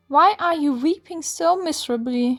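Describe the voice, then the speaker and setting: A woman's squeaky, put-on character voice at a moderate pace, with faint music in the background. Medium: read story.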